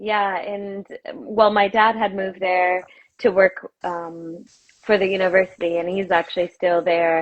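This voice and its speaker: A woman with an American accent has an ordinary speaking voice at a medium pitch. She talks at a fairly slow pace with fairly even intonation. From US South, Arkansas. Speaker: yoga teacher and activist. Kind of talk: interview conversation.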